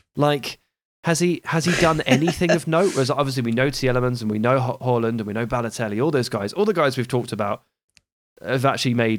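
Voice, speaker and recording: A very fast pace in a southern English accent, with ordinary pitch variation, on a very clean recording with a silent background. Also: man. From southern England (Hampshire). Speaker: football journalist and podcaster. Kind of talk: casual chat.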